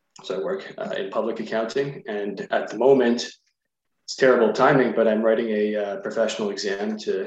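Speaking at a moderate pace, a man talks with a Canadian accent. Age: 20s. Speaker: political candidate. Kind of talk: radio interview. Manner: hesitant, filler-heavy.

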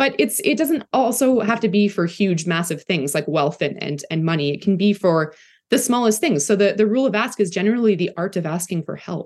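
A woman with a Canadian accent uses a normal speaking voice with lively intonation. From Canada, Toronto. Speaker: content creator. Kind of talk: casual chat.

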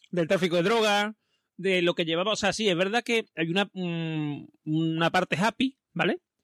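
A man's high-pitched, bright, sharp voice at a moderate pace with ordinary pitch variation, dry and close with no echo, in a very clean recording with a silent background. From Spain, Seville. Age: 40s. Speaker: podcast host. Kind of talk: casual chat.

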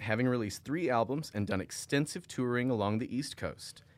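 A man at a medium pitch, with lively intonation and a fairly quick pace. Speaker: podcast host. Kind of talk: casual chat. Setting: studio. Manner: fast.

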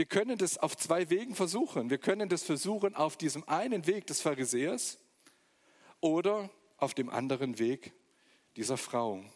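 A man speaks at a moderate pace with a fairly high pitch and very wide swings in pitch, breaking often into long pauses. The recording is very clean, with a silent background. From eastern Germany, Magdeburg. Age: 40s. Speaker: guest preacher. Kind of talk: sermon.

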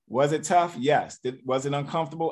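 Against a quiet background, a man has an unremarkable speaking voice, fairly high in pitch, with fairly even intonation at a moderate pace. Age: 40s. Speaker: network marketing leader. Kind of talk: motivational talk.

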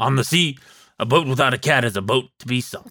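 Using a put-on character voice, a man talks fairly quickly in a raspy tone at a medium pitch.

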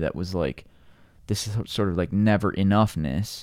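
A man with an American accent has a dark, mellow tone and fairly even intonation. He speaks at a moderate pace on a very clean recording with a silent background. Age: 40s. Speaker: climber. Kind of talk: casual chat.

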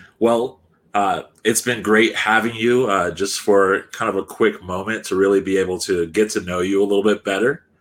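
A man's fairly low voice with an American accent and fairly even intonation. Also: moderate pace. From California. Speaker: soccer podcast host. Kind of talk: casual interview. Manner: halting, many fillers.

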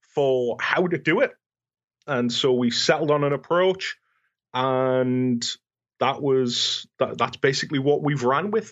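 A man with a British accent talks at a fairly slow pace and a fairly high pitch. His pitch variation is ordinary and his loudness very even. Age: 30s. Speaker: fan convention organizer. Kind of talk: podcast interview.

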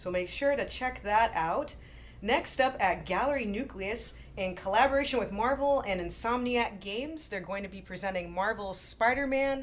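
This woman has a plain, everyday voice. Her pitch variation is ordinary. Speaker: podcast host. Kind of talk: casual interview chat.

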